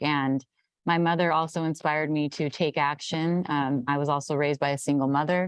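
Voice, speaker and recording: Against a quiet background, a woman with an American accent and a very deep, low voice speaks at a moderate pace in a monotone, flat way. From Central Valley, California. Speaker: political party staffer. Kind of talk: panel discussion.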